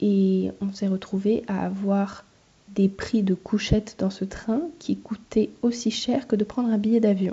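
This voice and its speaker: Speaking at a very slow pace, a woman uses a somewhat breathy medium-pitched voice with fairly even intonation. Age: 20s. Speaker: master's student in genetics, podcaster. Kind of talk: casual solo podcast, diary-style monologue.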